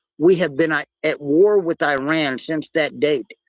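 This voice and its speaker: Fairly high-pitched man, fairly slow pace, ordinary pitch variation, dry and close with no echo. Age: 60s. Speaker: open mic participant in a live audio chat. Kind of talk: casual discussion. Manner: halting, with frequent repetitions.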